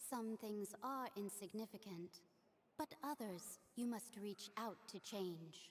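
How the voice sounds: The reading voice sounds natural, and its pitch moves in an ordinary way.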